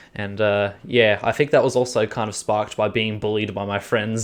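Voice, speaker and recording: Speaking at a fairly quick pace, a man with an Australian accent uses a medium pitch and a monotone, flat intonation. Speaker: podcast co-host. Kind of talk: casual chat. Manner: halting.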